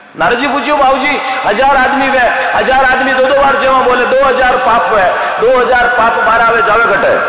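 Room echo is audible as a man speaks at a fairly slow pace. Loud background noise fills the recording. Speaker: devotional storyteller. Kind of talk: religious discourse with storytelling. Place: stage. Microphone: handheld.

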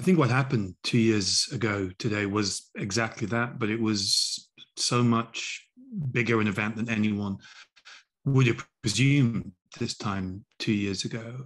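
A man speaks at a fairly slow pace with ordinary pitch variation against a quiet background. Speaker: remote guest. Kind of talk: interview answer. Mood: earnest, reflective. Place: home room. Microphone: video call.

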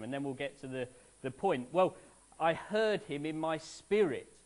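Delivered at a moderate pace, this man's speech carries ordinary pitch variation. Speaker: preacher. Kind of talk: sermon. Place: church.

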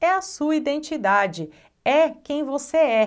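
A woman with a Brazilian accent, her pitch swinging very widely, against a quiet background. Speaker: English teacher. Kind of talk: online tutorial. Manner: animated. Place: studio. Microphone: lapel.

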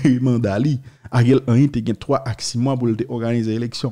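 This man speaks with a Haitian accent in a dark, mellow tone. The background is quiet. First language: Haitian Creole (speaking French). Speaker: news video host. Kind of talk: news commentary. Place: studio. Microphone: studio mic.

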